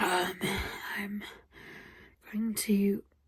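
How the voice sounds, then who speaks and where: In a British accent, a woman talks very slowly at a medium pitch. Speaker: vlogger. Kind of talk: casual vlog monologue. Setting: at home, early morning.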